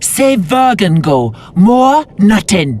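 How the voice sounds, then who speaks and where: A put-on character voice sits at a middle pitch. Its pitch swings very widely. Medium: video game. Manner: broken grammar, halting.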